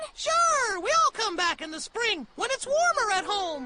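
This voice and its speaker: A cartoonish character voice at an extremely high pitch, with very wide pitch swings. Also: moderate pace. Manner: cheerful, friendly.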